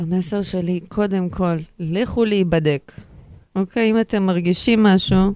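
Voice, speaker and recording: A woman with a non-native accent speaks at a fairly slow pace and medium pitch, with fairly even intonation and a dark, mellow tone. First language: not Hebrew (speaking Hebrew). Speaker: guest with Asperger's. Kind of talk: personal testimony interview.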